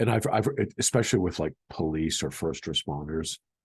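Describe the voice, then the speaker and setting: A man's moderately paced voice with vocal fry and an American accent, dry and close with no echo. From Boston area, Massachusetts. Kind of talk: casual educational talk to camera. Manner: hesitant, conversational, many fillers.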